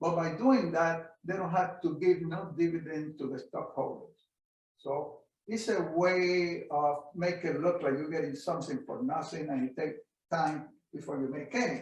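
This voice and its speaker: Audible room echo surrounds a man speaking at a moderate pace. His voice is high-pitched, with ordinary pitch variation. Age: 80s+. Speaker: veteran stock and commodity trader. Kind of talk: interview Q&A.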